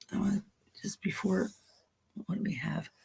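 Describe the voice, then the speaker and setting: The speaker is a woman with a Philadelphia accent. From Philadelphia, US. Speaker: tarot reader. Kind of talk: live stream card reading. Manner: casual, hesitant with fillers.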